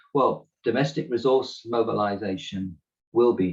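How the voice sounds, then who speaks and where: Speaking with a British accent, a man talks. His pace is moderate. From Britain. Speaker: climate economist panelist. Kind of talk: webinar presentation.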